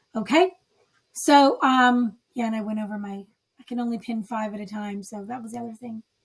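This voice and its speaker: A woman's fairly high, somewhat breathy voice at a fairly quick pace, with ordinary pitch variation and big swings in loudness. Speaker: author marketing coach. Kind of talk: tutorial. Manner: casual, filler-heavy.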